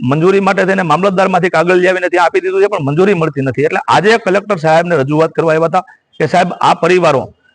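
This man's voice has a high pitch. His pitch variation is ordinary. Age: 50s. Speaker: community organizer. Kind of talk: media statement.

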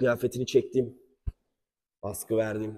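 A man speaks at a moderate pace with a medium pitch. His tone is dark and mellow, and somewhat breathy. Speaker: martial arts instructor. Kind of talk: tutorial. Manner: halting.

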